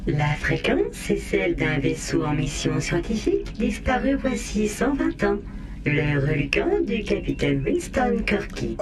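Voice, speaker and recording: A put-on character voice comes at a fairly slow pace over loud background noise. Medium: audio drama. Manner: flat, mechanical.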